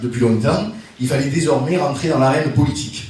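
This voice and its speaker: Amid noticeable background noise and audible room echo, a man with a slight Marseille accent speaks at medium pitch. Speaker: politician. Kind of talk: speech at political meeting. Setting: meeting hall with audience, no roaming mic. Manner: loud; hesitant.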